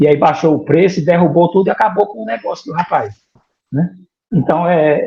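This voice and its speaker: The man's voice has a high pitch and a dark, mellow tone. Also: ordinary pitch variation, fairly quick pace. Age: 50s. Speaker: 3D printing student, former bank IT worker. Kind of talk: interview. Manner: halting, with repetitions.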